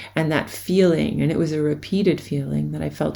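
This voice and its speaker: Fairly quick talk from a woman, noticeable background noise behind it. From US, New York City. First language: German. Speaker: education researcher. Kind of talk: recorded academic presentation.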